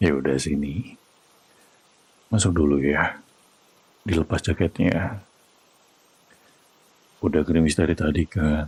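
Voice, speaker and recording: A man's very deep, low voice with vocal fry, at a fairly slow pace with long, frequent pauses, very even loudness and ordinary pitch variation, in a dry, close sound with no echo. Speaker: VTuber ASMR roleplay performer. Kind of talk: ASMR boyfriend comfort roleplay. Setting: close-mic ASMR recording for headphones. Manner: soft, calm, reassuring, whispered.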